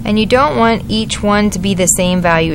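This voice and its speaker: Against noticeable background noise and audible room echo, a woman speaks with ordinary pitch variation. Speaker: art teacher. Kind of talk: tutorial. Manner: fast.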